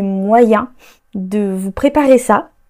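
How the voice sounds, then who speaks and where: A woman's voice has a dark, mellow tone and ordinary pitch variation. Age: 30s. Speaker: author and creative podcaster. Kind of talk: solo podcast monologue. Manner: hesitant, with frequent fillers.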